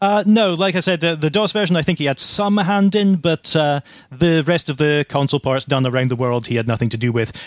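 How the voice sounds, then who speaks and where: Over a very clean recording with a silent background, a plain, everyday voice runs at a fairly quick pace with lively intonation and hardly any pauses. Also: man, fairly high pitch for a man. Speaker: retro game enthusiast and speedrunner. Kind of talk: casual chat.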